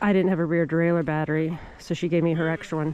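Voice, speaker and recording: Loud, fairly low woman's voice with music in the background. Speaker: bikepacking vlogger. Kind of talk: casual vlog narration. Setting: outdoors.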